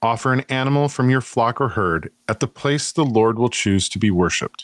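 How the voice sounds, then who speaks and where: A man speaks at medium pitch and a moderate pace, with lively intonation. It's a plain, everyday voice, recorded dry and close with no echo. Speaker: podcaster guest. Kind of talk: reading aloud scripture and casual chat.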